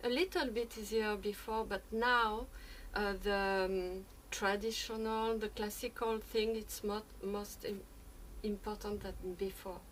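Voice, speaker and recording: Speaking at a fairly slow pace, a woman with a fairly high pitch keeps her intonation fairly even, with audible room echo around her. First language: not English. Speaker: experimental musician. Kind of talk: conference talk. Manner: halting.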